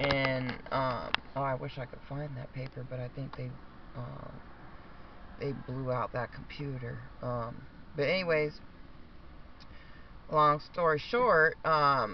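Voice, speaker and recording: Speaking very slowly at a medium pitch, a man keeps his intonation fairly even and leaves long, frequent pauses. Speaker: vlogger. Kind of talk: personal story.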